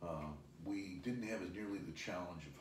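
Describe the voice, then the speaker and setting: Audible room echo surrounds a man's voice. His pitch varies in an ordinary way. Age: 60s. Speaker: business executive. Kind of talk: interview.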